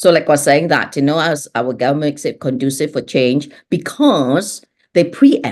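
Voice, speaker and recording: This woman's voice is very deep and low, with ordinary pitch variation. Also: moderate pace. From Singapore. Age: 60s. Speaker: transformation leader, business coach. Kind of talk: interview conversation.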